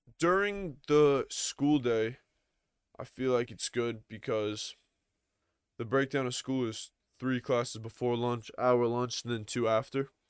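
A man's medium-pitched voice with an American accent, very slow with long, frequent pauses and ordinary pitch variation, in a very clean recording with a silent background. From US, Long Island, New York. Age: young. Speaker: podcast host, post-grad student. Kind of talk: casual chat.

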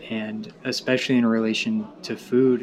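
There is noticeable background noise as a man with a Southern US accent speaks at a medium pitch. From Tennessee. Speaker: graduate student. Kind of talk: casual chat.

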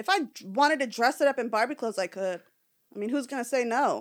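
In a very clean recording with a silent background, a woman speaks at a fairly quick pace with ordinary pitch variation. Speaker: podcast guest. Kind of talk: casual chat. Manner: outspoken.

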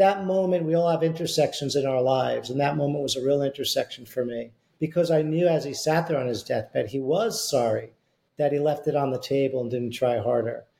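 A man speaks at a fairly quick pace in a fairly high pitch, somewhat breathy, with a dark, mellow tone and ordinary pitch variation. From US Northeast. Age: 60s. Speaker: beverage company CEO and author. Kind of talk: casual interview chat.

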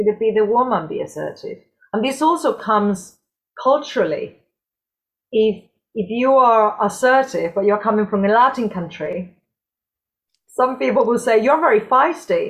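Pausing long and often, a woman with a Spanish accent speaks at a moderate pace. Her fairly high voice carries lively intonation. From southern Spain, Cordoba. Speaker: dance and health specialist. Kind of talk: casual chat.

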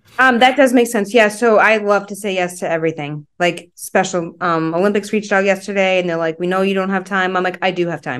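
A woman talks at a fairly quick pace with hardly any pauses, her pitch medium and its variation ordinary. Hers is an unremarkable speaking voice. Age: 40s. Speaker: endurance runner. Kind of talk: casual chat.

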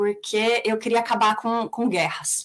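A woman's fairly high voice in a São Paulo accent, at a fairly slow pace. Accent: São Paulo Brazilian Portuguese. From Brazil, mostly São Paulo. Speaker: peace researcher and conflict facilitator. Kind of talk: interview.

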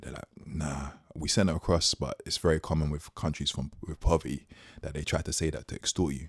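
A man's very deep, low voice, flat and monotone, with vocal fry and a dry, close sound free of echo. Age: 30s. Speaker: podcast co-host. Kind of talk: casual chat.

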